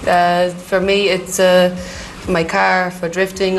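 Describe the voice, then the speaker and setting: At a fairly slow pace, a woman with an Irish accent and a medium pitch speaks through audible room echo and noticeable background noise. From Ireland. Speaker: drift racing driver. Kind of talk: interview.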